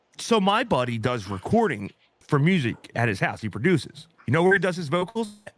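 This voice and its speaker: A man talks at a fairly quick pace with a fairly high pitch, very wide pitch swings and an animated tone. There is vocal fry, and the sound is dry with no echo. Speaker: streamer; podcast co-host. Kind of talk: casual chat; casual podcast chat. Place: home room. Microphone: video call.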